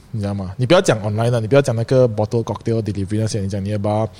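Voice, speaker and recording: Very clean recording with a silent background. A man speaks at a medium pitch in a dark, mellow tone. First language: English and Hokkien rather than Mandarin (speaking Chinese). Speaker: streetwear brand founder and shop owner. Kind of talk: casual chat.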